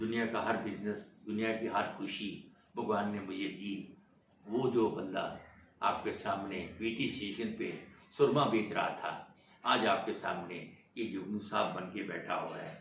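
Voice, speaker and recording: Monotone, flat intonation with audible room echo. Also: man, fairly low pitch for a man. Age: 80s+. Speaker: film industry veteran. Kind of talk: interview, life story.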